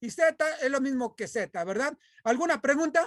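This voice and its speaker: A loud voice comes through in a very clean recording with a silent background. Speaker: math teacher. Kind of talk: lecture.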